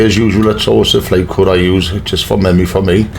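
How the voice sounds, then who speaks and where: A man speaks with a Geordie accent. Room echo and noticeable background noise can be heard. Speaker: flight sim youtuber. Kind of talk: tutorial. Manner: casual.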